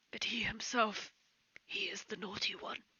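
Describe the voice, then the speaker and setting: In a put-on character voice, a woman whispers in a raspy tone at a moderate pace. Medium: actual play. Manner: formal, hesitant, fussy.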